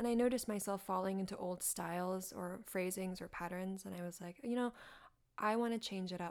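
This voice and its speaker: A woman with an unremarkable speaking voice talks at a moderate pace, her medium pitch carried in fairly even intonation. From North Carolina, US (born in China, moved at five). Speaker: artist and writer, tango dancer. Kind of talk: casual interview chat. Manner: frequent laughter.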